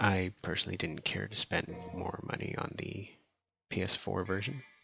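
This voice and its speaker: Soft-spoken, a man talks at a fairly slow pace. His pitch is fairly low and his intonation fairly even. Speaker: gaming channel host. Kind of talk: casual gameplay commentary.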